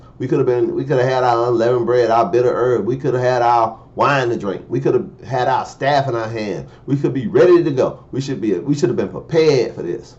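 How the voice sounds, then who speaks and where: The speaker has an animated tone, a fairly quick pace, ordinary pitch variation and hardly any pauses. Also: man, medium pitch for a man. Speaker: preacher. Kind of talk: sermon.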